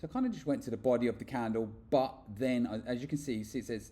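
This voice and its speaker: In a British accent, a man speaks at a medium pitch with ordinary pitch variation. His tone is dark and mellow. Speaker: forex trader and trading educator. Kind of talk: screen-share tutorial. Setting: away from home, makeshift recording. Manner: fast; hesitant, with repeated words and fillers. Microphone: poor audio, makeshift mic setup.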